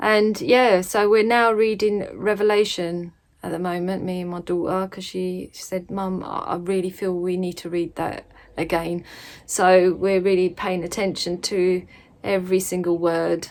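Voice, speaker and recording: A woman at a medium pitch and a fairly slow pace. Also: fairly even intonation. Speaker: religious vlogger. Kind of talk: casual vlog talk. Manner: hesitant, many fillers.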